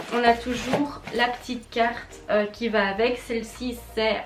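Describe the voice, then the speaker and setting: A woman talks fairly slowly while noticeable noise runs in the background. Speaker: beauty youtuber. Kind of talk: casual product review vlog.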